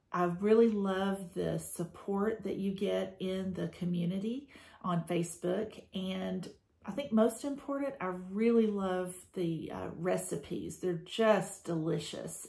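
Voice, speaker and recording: A woman with an American accent has a dark, mellow, somewhat breathy tone at medium pitch. She speaks at a very slow pace with ordinary pitch variation. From Georgia, USA. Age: 50s. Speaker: school administrator. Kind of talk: testimonial talk to camera.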